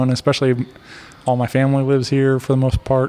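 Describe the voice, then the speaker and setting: With an American accent, a man rushes along at a very fast pace in a monotone, flat intonation. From US Midwest. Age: 30s. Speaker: podcast host. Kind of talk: casual chat. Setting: hotel with party noise in background. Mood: relaxed, friendly. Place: studio. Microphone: studio mic.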